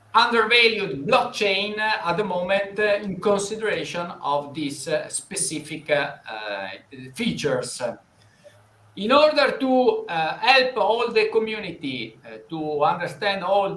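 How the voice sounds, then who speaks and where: Raised and projected, a man's high-pitched voice carries lively intonation and big swings in loudness at a fairly slow pace. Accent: Italian. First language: Italian. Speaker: financial interviewer. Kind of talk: live interview. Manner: halting, many fillers.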